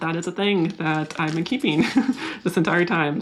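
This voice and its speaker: Noticeable background noise accompanies a woman with an American accent. Her pitch is fairly low with ordinary variation, and her pace is moderate. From US West Coast, San Diego. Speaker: plant YouTuber. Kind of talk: casual vlog talk to camera. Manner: mild stutter edited out.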